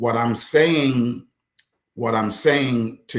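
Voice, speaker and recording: A man with an American accent, medium pitch and ordinary pitch variation, talking at a very slow pace. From US Midwest (Chicago). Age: 60s. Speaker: author and counselor. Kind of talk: interview conversation. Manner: animated.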